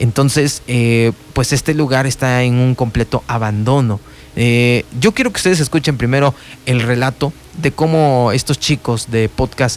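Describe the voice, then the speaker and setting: A man talks at a fairly slow pace and a medium pitch. His intonation is fairly even and his loudness very even. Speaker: radio host. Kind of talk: radio talk show narration. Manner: hesitant, conversational.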